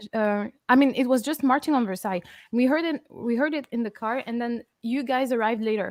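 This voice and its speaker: In a French accent, a woman talks at a fairly quick pace with a high pitch and a dry, close sound with no echo. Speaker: metal band vocalist. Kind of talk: casual chat. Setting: live stream video call.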